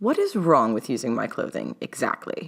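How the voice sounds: This put-on character voice swings very widely in pitch, with a slightly husky edge and vocal fry. It moves at a moderate pace. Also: woman, extremely low pitch for a woman.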